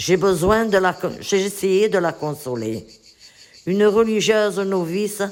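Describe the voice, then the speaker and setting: A woman is speaking. Her pace is very slow. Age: 80s+. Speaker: elderly writing workshop participant. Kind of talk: reading aloud own life story.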